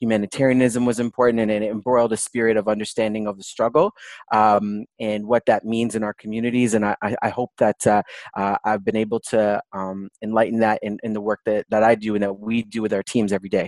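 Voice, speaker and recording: Speech comes at a fairly quick pace in a Canadian accent, with monotone, flat intonation. The recording is very clean, with a silent background and a dry, close sound with no echo. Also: man, fairly low pitch for a man. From Toronto, Canada. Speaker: palliative care doctor. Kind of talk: interview conversation.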